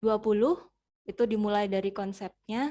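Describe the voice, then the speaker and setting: Medium-pitched female speech at a moderate pace, fairly even in intonation, against a quiet background. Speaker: Japanese language teacher. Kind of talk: interview. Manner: hesitant, many filler sounds.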